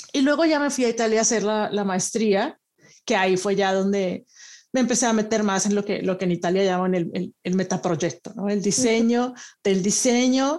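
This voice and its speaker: A woman's normal speaking voice at medium pitch and moderate pace, with ordinary pitch variation, very even loudness, and a very clean recording with a silent background. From Monterrey, northern Mexico. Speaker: design researcher. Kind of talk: interview.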